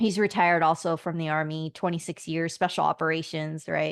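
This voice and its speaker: A woman with an American accent and an unremarkable speaking voice talks at a fairly quick pace, the sound dry and close with no echo over a quiet background. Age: 40s. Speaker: army veteran and communications executive. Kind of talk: casual interview chat.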